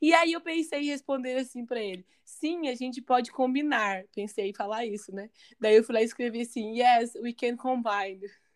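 Over a silent background on a very clean recording, a woman with a high pitch and ordinary pitch variation talks at a moderate pace with hardly any pauses. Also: big swings in loudness. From Brazil. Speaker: podcast co-host, English teacher. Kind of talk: casual chat.

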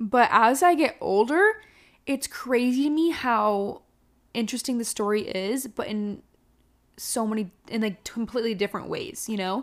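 In a very clean recording with a silent background, a woman sounds energetic, with lively intonation and a fairly high pitch. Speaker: podcast host. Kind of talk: casual solo podcast monologue. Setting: home, alone in the house. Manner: energetic, loud.

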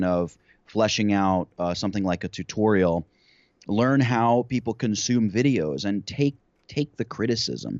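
A man with a plain, everyday voice speaks at a moderate pace, his fairly low pitch showing ordinary pitch variation. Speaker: YouTube creator. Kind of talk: interview conversation.

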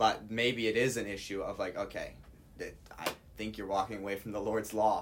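The delivery has a monotone, flat intonation at a moderate pace, with long, frequent pauses. Noticeable background noise is present. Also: man, fairly low pitch for a man. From Hawaii. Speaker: Bible college student. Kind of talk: casual chat.

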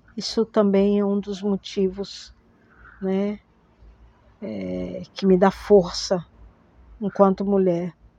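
A woman speaks very slowly at a medium pitch, with long, frequent pauses. Her intonation is flat and monotone. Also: big swings in loudness. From Manaus, Amazonas, northern Brazil. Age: 50s. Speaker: historian, theatre actress and arts educator. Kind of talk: personal testimony. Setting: recorded at home.

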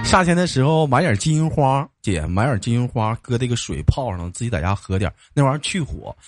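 In a northeastern Chinese accent, a man speaks at medium pitch with an animated tone, very wide pitch swings, and a fairly quick pace, in a dry, close sound with no echo. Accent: northeastern Mandarin. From Jilin, northeast China. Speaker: live-stream call-in show host. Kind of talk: casual chat with caller.

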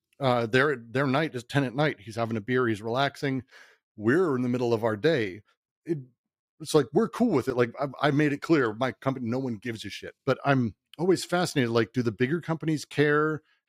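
In a very clean recording with a silent background and a dry, close sound with no echo, a man with an American accent talks in a normal speaking voice at medium pitch, at a fairly quick pace with ordinary pitch variation. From Colorado, Denver. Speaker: video game company CEO. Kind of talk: casual chat.

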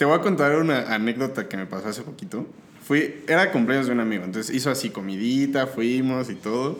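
Over noticeable background noise and audible room echo, a man talks at a fairly quick pace with lively intonation. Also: medium pitch for a man. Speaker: podcast guest. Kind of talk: casual chat. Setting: home studio.

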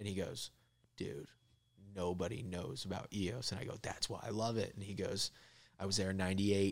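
At a moderate pace with long, frequent pauses, a man with an American accent speaks at a fairly low pitch. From Florida. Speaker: comedian. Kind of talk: casual chat. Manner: animated.

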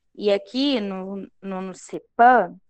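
With an unremarkable speaking voice, a woman speaks in a medium pitch that varies in an ordinary way. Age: 20s. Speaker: pedagogy student. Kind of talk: casual interview.

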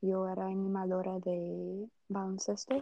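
A very slow delivery in a Brazilian accent. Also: woman. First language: Portuguese (speaking Spanish). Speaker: student. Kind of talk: casual chat. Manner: halting.

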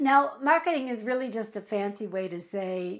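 A woman speaks at a fairly slow pace with an American accent. Her fairly high voice has lively intonation. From United States. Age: 50s. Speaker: actor and acting career coach. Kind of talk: vlog-style tutorial to camera. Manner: animated.

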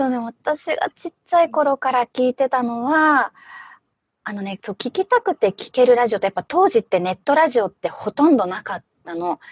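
A woman talks fairly quickly at a high pitch, her pitch swinging very widely and her loudness shifting a lot. The sound is dry and close, with no echo. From Fukushima, Japan. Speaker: PR manager, former voice actress. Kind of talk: casual interview.

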